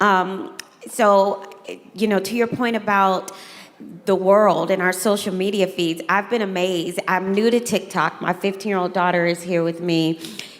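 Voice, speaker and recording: A woman with a Southern US accent and fairly even intonation, against noticeable background noise. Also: medium pitch for a woman, moderate pace. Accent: Southern US twang. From US South. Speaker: moderator, educator. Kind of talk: moderated fireside chat.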